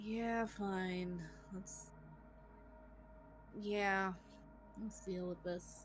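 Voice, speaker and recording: A woman uses a put-on character voice with a rumbling sound, speaking at a very slow pace. Long, frequent pauses break it up over clear background noise. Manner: grumbling, reluctant.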